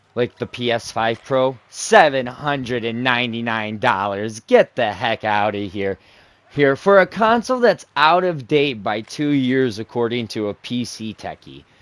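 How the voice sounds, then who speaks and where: Recorded dry and close with no echo, a man with an unremarkable speaking voice talks at a fairly slow pace and medium pitch with ordinary pitch variation. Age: 20s. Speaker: gaming YouTuber. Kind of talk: casual commentary over gameplay. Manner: rambling, self-correcting.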